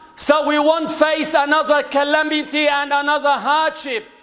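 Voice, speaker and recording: Fairly slow, solemn speech against a quiet background. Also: man. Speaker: preacher. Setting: mosque, addressing a congregation. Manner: warm, pleading tone when addressing the congregation as 'beloved ones'. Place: home room. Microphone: studio mic.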